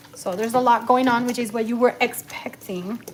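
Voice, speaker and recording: Over noticeable background noise, a woman talks at a moderate pace in a fairly high voice with fairly even intonation. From Cuba. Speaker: cooking livestreamer. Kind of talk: live cooking stream chat. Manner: casual, code-switching English and Spanish.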